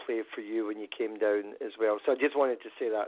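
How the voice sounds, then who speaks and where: Fairly quick speech in a Scottish accent with ordinary pitch variation. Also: man. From Scotland. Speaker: musician. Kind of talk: casual interview. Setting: phone call.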